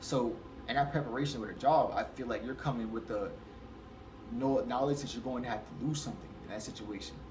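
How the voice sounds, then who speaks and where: A fairly quick man's voice at medium pitch with fairly even intonation, plus audible room echo and noticeable background noise. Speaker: spirituality commentator. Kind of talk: casual monologue. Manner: fast.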